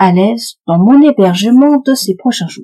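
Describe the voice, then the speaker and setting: A somewhat breathy woman with a dark, mellow tone and medium pitch speaks at a fairly slow pace with very wide pitch swings, captured with a dry, close sound and no echo. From France, Paris. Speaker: podcast host for French learners. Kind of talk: scripted narration.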